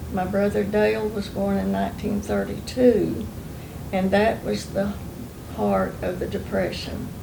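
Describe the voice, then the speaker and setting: Speaking at a fairly slow pace, a woman talks in an Oklahoma accent. Noticeable background noise and audible room echo run through the clip. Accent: Southern US (Oklahoma) rural. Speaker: oral history interviewee. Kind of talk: oral history interview, reminiscing. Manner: relaxed, conversational with fillers.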